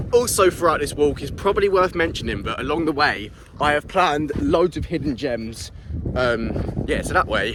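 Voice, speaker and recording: With a British accent, a man speaks at a moderate pace in a high pitch with lively intonation, and there is noticeable background noise. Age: young. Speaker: travel vlogger. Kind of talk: vlog narration. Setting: outdoors. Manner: animated.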